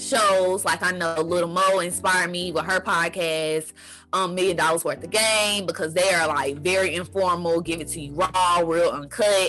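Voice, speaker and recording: A woman with an American accent speaks at a moderate pace in a fairly low pitch, barely pausing. Her intonation stays fairly even while music plays behind her. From North Carolina, Greensboro. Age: young. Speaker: entrepreneur and podcaster. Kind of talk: casual interview. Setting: in person.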